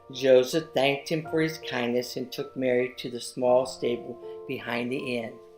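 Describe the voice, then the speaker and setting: With music in the background, a woman talks at a moderate pace in a very deep, low pitch, her intonation fairly even. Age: 70s. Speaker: children's book author. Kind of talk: reading aloud.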